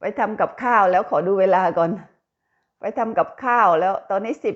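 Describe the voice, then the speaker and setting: A woman's unremarkable speaking voice, medium in pitch, with ordinary pitch variation. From Thailand, Buriram province (Isan). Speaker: vlogger, factory worker abroad. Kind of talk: casual vlog monologue.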